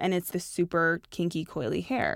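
Speaking fairly slowly with a Canadian accent, a woman has an ordinary speaking voice at a fairly low pitch, in a very clean recording with a silent background and a dry, close sound with no echo. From Canada, Toronto. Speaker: fashion and beauty editor. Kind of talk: casual interview chat.

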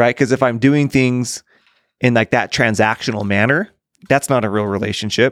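A man with an unremarkable speaking voice, medium pitch, fairly even intonation, very even loudness and a moderate pace, in a dry, close sound with no echo. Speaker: podcast co-host. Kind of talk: casual interview chat.

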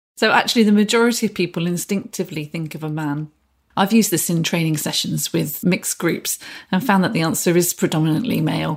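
A woman's fairly low, somewhat breathy voice at a very fast pace with ordinary pitch variation, on a very clean recording with a silent background. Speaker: employment lawyer. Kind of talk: professional podcast discussion.

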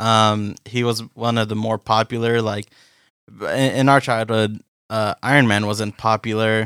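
Monotone, flat delivery in a dry, close sound with no echo, on a very clean recording with a silent background. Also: man. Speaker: podcast co-host. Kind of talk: casual chat.

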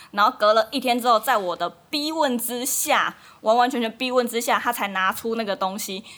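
Using an ordinary speaking voice, a woman talks at a fairly quick pace with a fairly high pitch and lively intonation. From Taiwan, Kaohsiung. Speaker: Taiwanese wife of a Dutch man. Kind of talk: casual chat.

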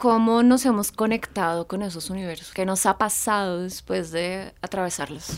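A woman speaks in an ordinary speaking voice at a medium pitch and moderate pace. Her pitch varies in an ordinary way, and she hardly ever pauses. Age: 40s. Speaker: podcast co-host. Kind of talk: casual chat. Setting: recording studio.

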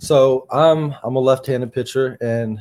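The voice belongs to a man with an American accent. His pitch is medium. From US South, North Carolina. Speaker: baseball player. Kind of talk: interview. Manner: halting.

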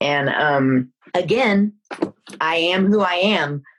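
Her intonation is lively and her pitch fairly low. This woman has an ordinary speaking voice and an American accent. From Texas, Dallas. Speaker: film producer. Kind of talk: interview.

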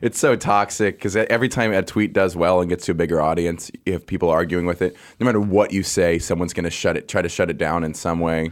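Very deep and low, a man's voice moves at a very fast pace with fairly even intonation. It is captured on a very clean recording with a silent background. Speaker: comedian. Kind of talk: casual chat. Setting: studio. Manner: loud.

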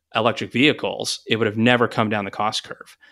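With an American accent, a man at medium pitch uses an ordinary speaking voice, fairly even intonation, and a moderate pace. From Texas. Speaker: energy company CEO. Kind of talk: interview.

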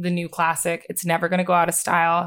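The recording is very clean, with a silent background. The speech moves at a very fast pace. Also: woman. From US Northeast, Bucks County, Pennsylvania. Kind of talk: casual interview chat.

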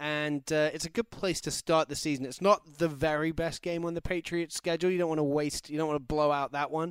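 In an English accent, a man speaks fairly quickly with hardly any pauses, in a flat monotone at a fairly high pitch. The recording is very clean, with a silent background. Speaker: football podcast co-host. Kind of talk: casual chat. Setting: studio.

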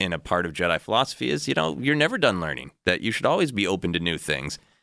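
A man with a very deep, low pitch and a bright, sharp tone is heard in a dry, close sound with no echo on a very clean recording with a silent background. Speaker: comedian and writer. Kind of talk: casual chat.

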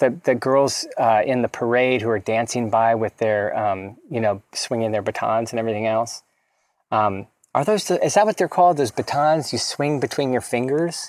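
This man has an unremarkable speaking voice with an American accent, medium pitch and ordinary pitch variation. He talks at a moderate pace in a dry, close sound with no echo. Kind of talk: casual chat about a film.

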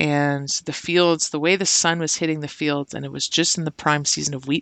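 A woman speaks in a very deep, low voice with a Canadian accent. Her intonation stays fairly even. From Ontario, Canada (Brantford). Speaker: visual artist. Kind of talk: casual interview.

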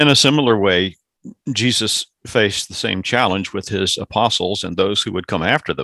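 A man with an American accent speaks at a moderate pace in a bright, sharp tone. His intonation is lively, and the recording is very clean with a silent background. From US South. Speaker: pastor. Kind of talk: casual chat. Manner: halting.

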